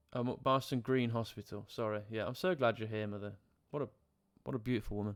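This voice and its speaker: A man with a West Midlands accent talks at a very fast pace, his medium-pitched voice keeping a fairly even intonation. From English Midlands, Coleshill. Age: 20s. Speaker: live streamer and life coach. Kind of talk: casual live stream chat, personal life story. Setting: live stream with chat. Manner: halting, many fillers.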